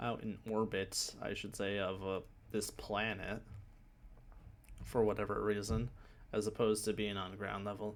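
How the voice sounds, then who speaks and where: A soft-spoken man's fairly low, flat, monotone voice with vocal fry, a moderate pace and long, frequent pauses. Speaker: gaming YouTuber. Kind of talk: video game trailer breakdown commentary. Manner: hesitant, many fillers.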